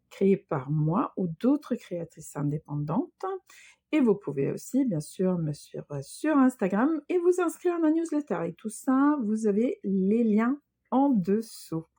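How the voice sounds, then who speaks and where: A woman with a slight Swedish accent speaks at a very slow pace at fairly high pitch in a somewhat breathy, dark, mellow tone with very wide pitch swings, in a dry, close sound with no echo and a quiet background. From Sweden. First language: Swedish (speaking French). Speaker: knitting and crochet designer, podcaster. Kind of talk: casual podcast monologue. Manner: hesitant, many fillers.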